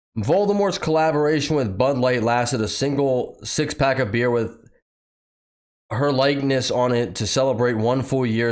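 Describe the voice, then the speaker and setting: A man speaks in a plain, everyday voice, keeping a moderate pace and medium pitch, with ordinary pitch variation. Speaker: political commentary youtuber; factory worker. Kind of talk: commentary reading news with sarcastic asides.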